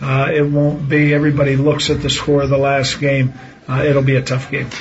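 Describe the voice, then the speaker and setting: Noticeable background noise runs under speech delivered at a moderate speed. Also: man. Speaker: high school basketball coach. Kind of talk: short radio interview. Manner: conversational, slightly hesitant with filler words.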